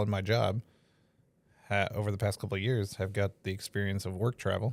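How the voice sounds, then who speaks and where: The sound is dry and close with no echo. A man speaks at a fairly low pitch with fairly even intonation. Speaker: podcast host. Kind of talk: casual chat. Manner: loud.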